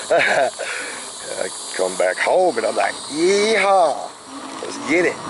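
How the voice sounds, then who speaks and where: Noticeable background noise runs under this recording. A man with an Oklahoma accent speaks at a very slow pace. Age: 60s. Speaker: e-bike reviewer. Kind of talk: casual vlog narration. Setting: outdoors riding an e-bike. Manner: rambling, halting with many uh fillers.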